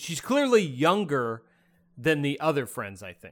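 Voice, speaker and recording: A man with an unremarkable speaking voice and a fairly high pitch talks at a moderate pace in a very clean recording with a silent background. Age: 50s. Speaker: film podcast co-host. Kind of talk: casual chat.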